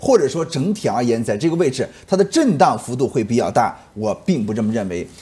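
A man speaks with very wide pitch swings in a dark, mellow, somewhat breathy voice. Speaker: market analyst. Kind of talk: commentary. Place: studio.

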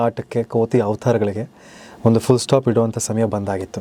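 Recorded with a dry, close sound with no echo, a man of medium pitch speaks over noticeable background noise. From Bangalore, Karnataka, India. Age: 30s. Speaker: TV serial actor. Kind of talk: interview.

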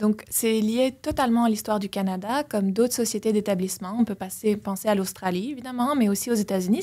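A woman speaks at a fairly quick pace with a fairly high, somewhat breathy voice. Her pitch variation is ordinary. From Belgium. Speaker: political science professor. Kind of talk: interview. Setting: studio.

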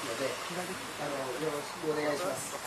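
Loud background noise accompanies speech at a fairly quick pace. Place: open country. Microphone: camera far.

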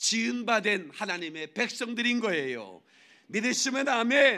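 A man speaks in a high pitch with a raised, projected voice, lively intonation and an animated tone. His tone is bright and sharp against a quiet background. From South Korea. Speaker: pastor. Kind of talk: sermon. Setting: church. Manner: loud. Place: church. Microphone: podium.

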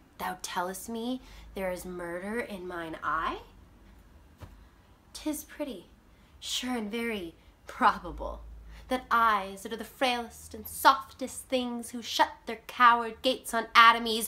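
A woman puts on a character voice, fairly high in pitch with ordinary variation and big swings in loudness. She speaks at a fairly slow pace with long, frequent pauses. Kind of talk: classical theatre monologue.

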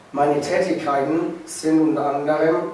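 Audible room echo and noticeable background noise fill the clip. A man speaks very slowly in a fairly high voice. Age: young. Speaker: apprentice concrete worker. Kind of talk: scripted video presentation.

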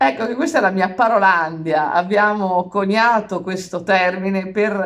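Moderate-paced speech from a woman, its pitch varying in an ordinary way. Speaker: vlogger. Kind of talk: casual vlog chat. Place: kitchen. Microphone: phone near.

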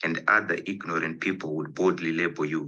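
At a moderate pace, a man with a very deep, low pitch speaks in a bright, sharp tone. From Zimbabwe. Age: 20s. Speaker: poet. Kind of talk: poetry reading. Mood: earnest, reflective. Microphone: video call.

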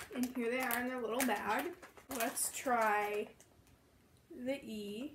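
Speaking at a very slow pace, a woman with a high pitch uses ordinary pitch variation while her loudness swings widely over noticeable background noise. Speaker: candy review vlogger. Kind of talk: casual vlog chat. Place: home room. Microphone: camera far.

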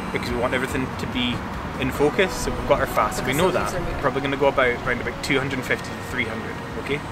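Loud background noise sits behind a man who talks at a very fast pace. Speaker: photography teacher. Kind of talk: tutorial. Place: open country.

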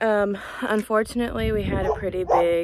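A woman at a fairly slow pace, with loud background noise and a dry sound with no echo. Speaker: ranch vlogger. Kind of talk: casual vlog chat. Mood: somber, subdued. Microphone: phone near.

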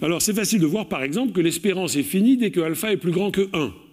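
Vocal fry runs through speech at a very fast pace. The background is quiet. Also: man. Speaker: mathematics professor. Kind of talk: lecture. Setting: stage with audience. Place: hall.

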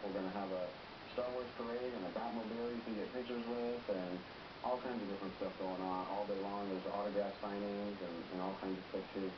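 A man speaks at a fairly quick pace while noticeable background noise plays underneath. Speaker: guest. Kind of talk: interview answer. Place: studio.

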